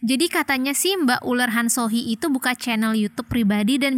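Her voice fairly high, a woman speaks at a very fast pace. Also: dry, close sound with no echo. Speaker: podcast host. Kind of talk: casual chat.

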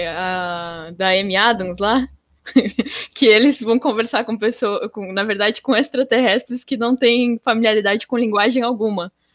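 Clean and silent in the background, the recording carries an unremarkable speaking voice. It moves at a fairly slow pace with ordinary pitch variation. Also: woman. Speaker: student podcast host. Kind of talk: interview.

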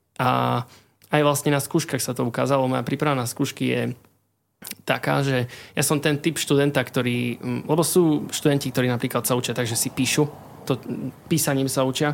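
Over a silent background in a very clean recording, a man with a medium pitch talks at a fairly quick pace in a monotone, flat delivery broken by long, frequent pauses. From eastern Slovakia, Košice. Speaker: chemistry student. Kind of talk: casual interview. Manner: halting, many fillers.

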